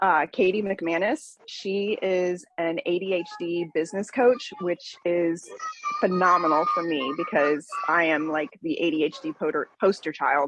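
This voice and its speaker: In an ordinary speaking voice, a woman talks at a fairly slow pace and a fairly low pitch with ordinary pitch variation. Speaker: business networking participant. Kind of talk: casual chat.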